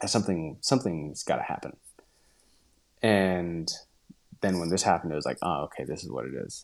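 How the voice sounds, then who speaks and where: A man's very deep, low voice with a western US accent, fairly quick in pace yet broken by long, frequent pauses. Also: ordinary pitch variation. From Utah. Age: 30s. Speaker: professional cyclist. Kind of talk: casual interview.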